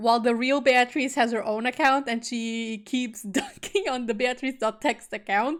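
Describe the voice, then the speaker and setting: A woman speaks in a high voice with music playing in the background. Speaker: VTuber streamer. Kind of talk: casual joking commentary on stream. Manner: somewhat monotone.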